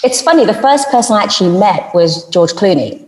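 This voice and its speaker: A woman with a British accent talks at a moderate pace with lively intonation, and noticeable background noise sits behind her. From United Kingdom. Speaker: journalist and TV and radio presenter; voice-over artist. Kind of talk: interview answer.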